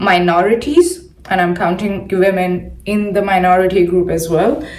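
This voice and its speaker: A woman's medium-pitched voice in an Indian accent, with audible room echo. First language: not English (English is her third language). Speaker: science podcaster. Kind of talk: solo commentary podcast. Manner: halting, many fillers and repeats.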